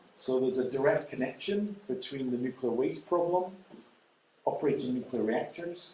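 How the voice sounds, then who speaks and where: With a Scottish accent, a man talks at a fairly quick pace and medium pitch, with audible room echo around him. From Scotland. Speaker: nuclear energy expert. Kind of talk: lecture. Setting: lecture hall with audience. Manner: pausing for consecutive interpretation.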